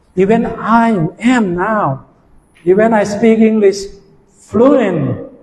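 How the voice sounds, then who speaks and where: A man's high voice at a very slow pace, with long, frequent pauses, ordinary pitch variation and audible room echo. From Thailand. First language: Thai. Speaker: university lecturer. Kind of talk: lecture. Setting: classroom.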